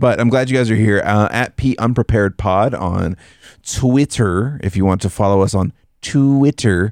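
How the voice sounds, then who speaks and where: With a plain, everyday voice at medium pitch, a man speaks at a moderate pace with ordinary pitch variation and very even loudness. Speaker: podcast co-host. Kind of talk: casual chat. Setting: studio. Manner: playful.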